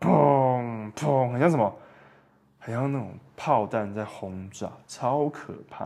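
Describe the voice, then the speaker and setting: A man with lively intonation at a very slow pace. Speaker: podcast host. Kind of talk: solo podcast monologue. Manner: animated.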